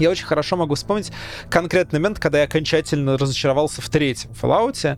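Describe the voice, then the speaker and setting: A man's fairly high-pitched voice at a very fast pace, with noticeable background noise. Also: ordinary pitch variation. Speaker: video game researcher. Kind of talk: casual chat.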